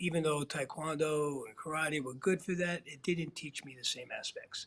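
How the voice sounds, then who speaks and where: This man has a normal speaking voice with an American accent. His pitch sits fairly high. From US Northeast, Queens, New York City. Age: 60s. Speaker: martial arts instructor. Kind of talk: interview. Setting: live online show.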